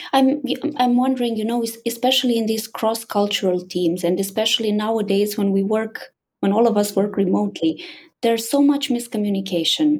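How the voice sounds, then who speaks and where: A woman's somewhat breathy voice, medium in pitch with ordinary variation, at a fairly quick pace. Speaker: podcast host. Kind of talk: interview. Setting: video call.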